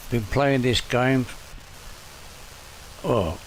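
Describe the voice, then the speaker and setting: With noticeable background noise behind him, a man speaks in fairly even intonation. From northern England. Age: 80s+. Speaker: gaming streamer. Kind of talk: gameplay commentary. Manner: casual, self-talking.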